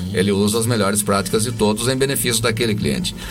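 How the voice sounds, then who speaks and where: Very fast speech from a man with a fairly low pitch, audible room echo and noticeable background noise. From Piracicaba, São Paulo interior. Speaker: radio journalist. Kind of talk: casual chat.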